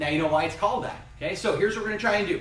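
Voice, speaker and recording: An energetic man speaks amid noticeable background noise and audible room echo. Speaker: karate instructor. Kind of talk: live fitness and self-defense class. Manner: fast.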